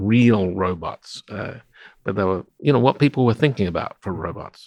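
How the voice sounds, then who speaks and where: Recorded dry and close with no echo, a man with an Australian accent speaks at fairly low pitch. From South Australia (Adelaide). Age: 60s. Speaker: roboticist. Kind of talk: interview conversation. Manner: hesitant, many fillers.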